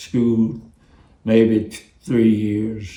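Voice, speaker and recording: In a Texas accent, a man with a medium pitch and a dark, mellow tone speaks very slowly with fairly even intonation. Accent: Southern US (Texas). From East Texas. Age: 80s+. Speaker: former plantation field worker. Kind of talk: interview answer.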